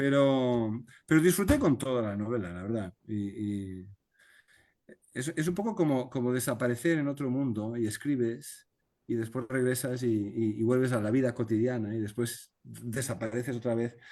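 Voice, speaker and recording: A man with a Spanish accent talks at a moderate pace and a medium pitch. His tone is dark and mellow. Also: ordinary pitch variation. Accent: Spanish (Spain). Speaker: novelist. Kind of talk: video conference talk, Q&A. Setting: video call. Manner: halting, many repetitions.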